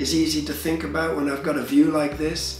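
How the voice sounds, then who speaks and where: Faint music plays in the background as a man speaks with fairly even intonation amid audible room echo. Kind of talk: interview answer. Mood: relaxed, amused. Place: workshop.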